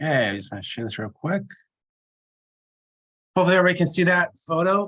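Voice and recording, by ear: Speech comes at a fast pace with big swings in pitch. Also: man, fairly high pitch for a man, fairly bright tone.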